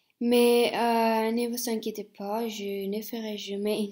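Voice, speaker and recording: A woman with a Spanish accent and a fairly high pitch speaks at a very slow pace with monotone, flat intonation. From Spain. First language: Spanish (speaking French). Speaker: language teacher. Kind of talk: self-introduction video. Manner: hesitant, many fillers.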